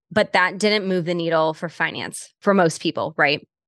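Against a quiet background, a woman with a plain, everyday voice and fairly low pitch speaks at a moderate pace with fairly even intonation. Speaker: podcast host and business coach. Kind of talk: casual interview.

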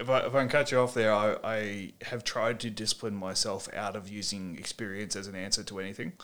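On a very clean recording with a silent background, a man with a fairly low pitch speaks at a fairly quick pace with fairly even intonation and hardly any pauses. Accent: Australian. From Australia. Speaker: podcast host, former bouncer and violence management trainer. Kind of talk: interview podcast. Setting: hotel room.

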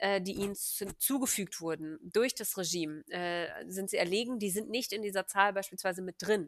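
A woman speaks in a plain, everyday voice at a medium pitch with ordinary variation, on a very clean recording with a silent background. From Germany, Hannover. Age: 20s. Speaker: activist and economics doctoral student. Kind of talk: casual interview.

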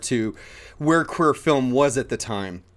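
A man speaks in a very clean recording with a completely silent background. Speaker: podcast host and filmmaker. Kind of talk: casual interview. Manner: animated.

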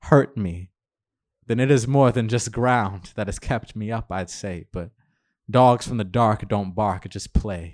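A man's ordinary speaking voice at medium pitch, fairly slow in pace, with ordinary pitch variation, big swings in loudness, and a very clean recording with a silent background. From Queens, New York. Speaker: poet. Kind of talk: poetry reading. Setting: bar reading event with audience.

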